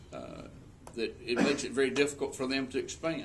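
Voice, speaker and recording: A man's fairly high-pitched voice at a fairly quick pace, with audible room echo. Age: 60s. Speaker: political candidate, state legislator and business owner. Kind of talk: political debate.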